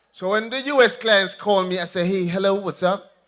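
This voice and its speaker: An animated, raised and projected voice with a Jamaican accent. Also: man. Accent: Jamaican, with patois. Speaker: politician. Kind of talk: political rally speech.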